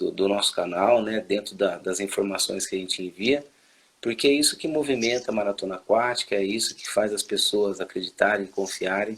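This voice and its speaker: This man's voice is fairly low in pitch. He speaks at a moderate pace in a relaxed tone. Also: ordinary pitch variation. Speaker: swimming coach and channel host. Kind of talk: interview. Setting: live video call. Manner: relaxed, conversational.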